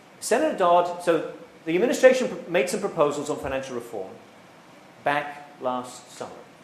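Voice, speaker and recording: Audible room echo and noticeable background noise surround a man speaking fairly quickly at a high pitch, with very wide pitch swings and big swings in loudness. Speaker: economics professor. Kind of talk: public lecture. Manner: repetitive false starts.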